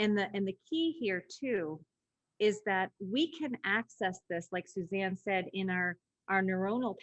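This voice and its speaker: A woman talks at a fairly slow pace. Her pitch moves with ordinary variation. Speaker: leadership institute CEO and webinar host. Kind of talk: webinar teaching. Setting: webinar video call. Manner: high energy, voice rises when excited.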